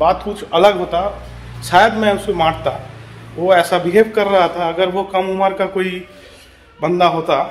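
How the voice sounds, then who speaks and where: Over light background noise, a man with a high pitch speaks at a fairly slow pace with fairly even intonation. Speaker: vlogger. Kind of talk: casual vlog chat. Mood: recounting a street quarrel, agitated. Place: home room. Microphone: phone near.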